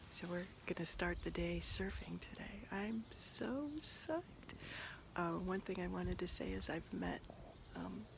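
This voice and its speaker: Fairly slow delivery from a woman, with audible echo in the room. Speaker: reality show contestant, ocean activist. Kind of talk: video diary. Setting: outdoors at surf camp.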